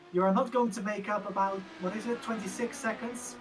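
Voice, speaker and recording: Over background music, a woman with a non-native accent talks at a fairly quick pace. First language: not English. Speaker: sim racing co-commentator. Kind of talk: live commentary.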